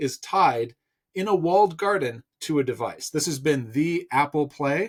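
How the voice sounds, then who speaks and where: With an unremarkable speaking voice, a man talks at a moderate pace with ordinary pitch variation in a very clean recording with a silent background. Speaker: tech commentator. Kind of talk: news commentary monologue.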